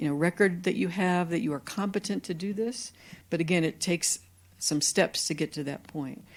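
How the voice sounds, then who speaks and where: The recording is very clean, with a silent background. A woman with a fairly low pitch talks in an American accent with ordinary pitch variation. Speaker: dietitian and professor. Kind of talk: lecture. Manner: fast.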